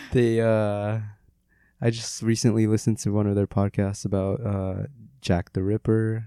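A man's dark, mellow tone at a moderate pace, monotone and flat in intonation, on a very clean recording with a silent background. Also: fairly low pitch for a man. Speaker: podcast host. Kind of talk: casual chat.

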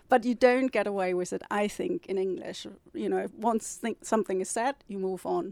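In a German accent, a woman talks at a moderate pace with a medium pitch and lively intonation. The sound is dry and close, with no echo. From northern Germany. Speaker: novelist and publisher. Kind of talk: interview.

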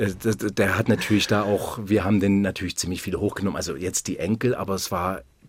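At a fairly quick pace comes an unremarkable speaking voice, on a very clean recording with a silent background. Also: man. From Württemberg, near Stuttgart. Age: 50s. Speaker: basketball club manager. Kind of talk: radio interview.

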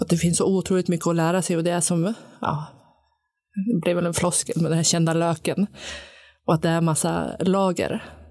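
With a strong Sundsvall accent, a woman talks at a fairly quick pace in a monotone, flat intonation, with very even loudness and long, frequent pauses. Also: fairly low pitch for a woman. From Sundsvall, northern Sweden. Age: 40s. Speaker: recovering alcoholic, new co-host. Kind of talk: casual conversation, personal testimony. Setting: studio.

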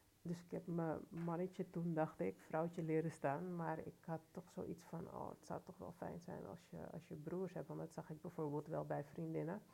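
Speaking at a moderate pace with hardly any pauses, a woman uses a fairly low pitch, a dark, mellow tone, vocal fry and fairly even intonation. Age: 40s. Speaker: youth care and education worker. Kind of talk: casual chat.

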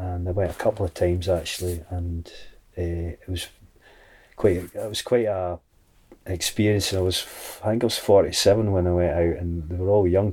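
A man with a Scottish accent speaks fairly slowly at a very deep, low pitch. His delivery is monotone and flat, with a dark, mellow, somewhat breathy tone. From Scotland, Dumfries. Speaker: shepherd and singer-songwriter. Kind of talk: casual interview chat. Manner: halting, many repetitions and fillers.

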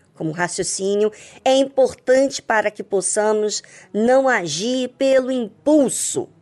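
Over background music, the speaker talks at a fairly slow pace with lively intonation. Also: woman, fairly high pitch for a woman. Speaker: radio host. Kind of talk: devotional radio talk.

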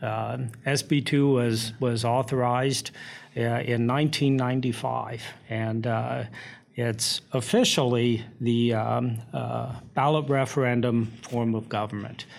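A man with an American accent at a medium pitch, very slow in pace and monotone, flat in intonation. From US Midwest, Indiana. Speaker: town administrator. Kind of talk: interview.

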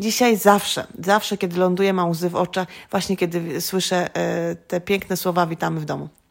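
A woman speaks in a plain, everyday voice at fairly low pitch. Her pace is fairly quick and her intonation fairly even. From Greater Poland, Poland. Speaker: educator living abroad. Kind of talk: casual interview. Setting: at her home.

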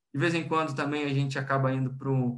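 Using a fairly high voice, a man with a Brazilian accent speaks at a fairly quick pace with monotone, flat intonation. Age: 20s. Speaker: industrial plant manager. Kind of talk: interview.

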